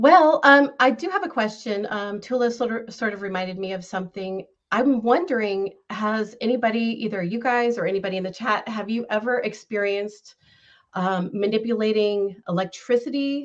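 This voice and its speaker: A woman with an American accent talks in an ordinary speaking voice at a fairly high pitch, keeping a moderate pace and ordinary pitch variation. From Northern California. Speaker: caller sharing paranormal experiences. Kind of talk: personal storytelling. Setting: video call.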